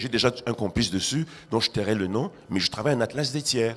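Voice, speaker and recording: Music plays in the background as a man speaks at a fairly quick pace. His medium-pitched voice has an animated tone and ordinary pitch variation. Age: 60s. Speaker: art critic and writer. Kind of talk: panel discussion.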